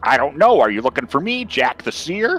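Someone puts on a strained character voice at a fairly quick pace, with faint music playing behind. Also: man. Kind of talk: in-character tabletop roleplay. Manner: awkward, strained to speak.

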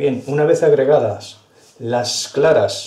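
A man's voice with audible room echo. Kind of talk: tutorial. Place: kitchen.

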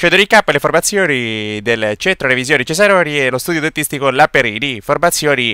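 Playful and excited, a man speaks with a fairly high pitch and lively intonation in a very clean recording with a silent background and a dry, close sound with no echo. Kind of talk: sports commentary, recap voice-over of a local five-a-side final. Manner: brisk, play-by-play delivery with lively, excited energy; playful, joking tone with tongue-in-cheek remarks.

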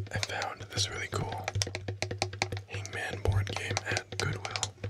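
Very slow speech from a man against loud background noise. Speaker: ASMR creator. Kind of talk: ASMR board game role play. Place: home room. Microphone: studio mic.

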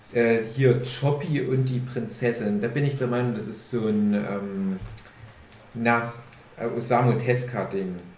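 A man at a medium pitch speaks very slowly with long, frequent pauses and fairly even intonation, over noticeable background noise and audible room echo. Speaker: podcast host. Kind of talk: casual chat.

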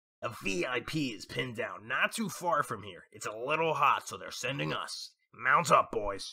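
In a raspy, put-on character voice pitched fairly high, a man talks at a moderate pace with hardly any pauses and big swings in loudness. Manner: pompous, smug, distracted.

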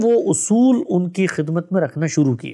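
Pitched high, a man speaks in a dark, mellow tone. His intonation is lively, and the background is quiet. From Pakistan, Karachi; Pakistan. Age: young. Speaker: Islamic scholar; guest. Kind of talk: life-story interview. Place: studio.

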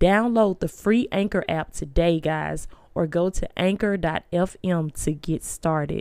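With an ordinary speaking voice, a woman talks at a fairly slow pace in a fairly low pitch with ordinary pitch variation. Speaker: spiritual life coach and motivational speaker. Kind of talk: podcast sponsor read. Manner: upbeat.

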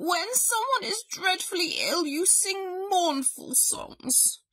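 A put-on character voice with lively intonation and a fairly bright tone. The pace is slow. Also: woman, extremely high pitch for a woman.

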